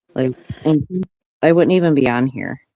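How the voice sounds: A soft-spoken woman's voice, extremely low-pitched, with a dark, mellow tone, ordinary pitch variation and a moderate pace, in a dry, close sound with no echo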